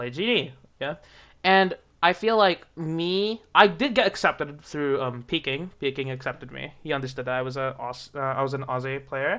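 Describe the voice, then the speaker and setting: Someone with an American accent speaks at a moderate pace against a quiet background. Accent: sounds American. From Australia. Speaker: YouTuber interviewing about community drama. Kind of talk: casual interview.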